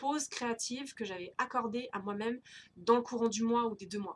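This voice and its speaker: Speaking fairly quickly, a woman uses a fairly high pitch. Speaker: tarot and creativity YouTuber. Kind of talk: casual monthly update vlog. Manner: hesitant, many fillers.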